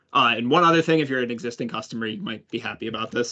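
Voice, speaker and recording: A man's bright, sharp voice at a medium pitch, very fast, with ordinary pitch variation. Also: quiet background. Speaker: head of product presenting a webinar. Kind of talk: product webinar presentation with Q&A. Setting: online webinar. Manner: casual with frequent fillers.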